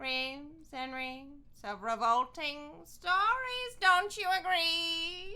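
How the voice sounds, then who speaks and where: A female-sounding, put-on character voice speaks at a very slow pace. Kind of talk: mock-formal, flowery. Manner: theatrical, ghoulish, playful.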